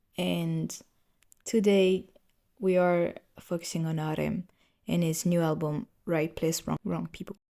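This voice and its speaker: A woman speaks with a non-native accent. She leaves long, frequent pauses. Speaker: podcast host. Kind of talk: casual music review podcast. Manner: halting, with fillers.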